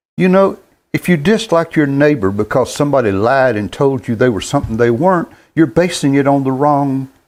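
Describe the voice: A man talks at a moderate pace in a medium pitch. His intonation is lively and his tone slightly mellow.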